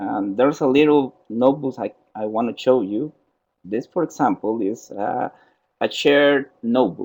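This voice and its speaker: At a fairly slow pace, a man with a Spanish accent talks in a medium pitch with ordinary pitch variation. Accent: Spanish accent, non-native English. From Costa Rica. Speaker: software trainer. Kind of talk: software tutorial in webinar. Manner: halting.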